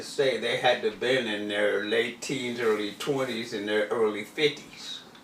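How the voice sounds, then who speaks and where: Noticeable background noise sits under this man's voice. He talks at a fairly slow pace with hardly any pauses. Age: 70s. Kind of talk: casual chat.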